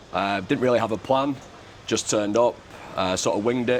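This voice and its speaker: Noticeable background noise is present throughout. The intonation remains fairly even. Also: man. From England. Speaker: expat parent, content creator. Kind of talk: casual chat. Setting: in an office.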